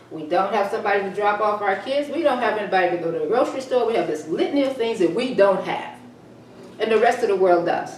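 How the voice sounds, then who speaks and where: In an American accent, the speaker talks very fast with lively intonation, amid audible room echo and noticeable background noise. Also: woman, medium pitch for a woman. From Texas. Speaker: talk show host and columnist. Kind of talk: reading own column with commentary.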